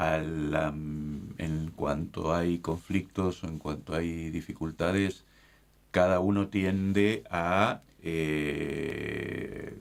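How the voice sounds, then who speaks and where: Very slowly, a man delivers his words in a very deep, low pitch with fairly even intonation. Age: 60s. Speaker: bishop. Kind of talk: casual chat.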